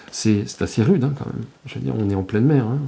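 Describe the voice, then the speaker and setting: Amid noticeable background noise, a man with fairly low pitch talks at a very fast pace with lively intonation. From France, Normandy (Chausey islands). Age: 60s. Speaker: retired journalist and photographer. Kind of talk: interview testimony. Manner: halting, many hesitations.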